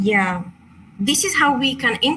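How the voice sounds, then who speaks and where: The speaker has a Chilean Spanish accent. The pitch varies in an ordinary way. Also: woman. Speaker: crystal meditation teacher. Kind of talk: online workshop presentation. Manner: halting.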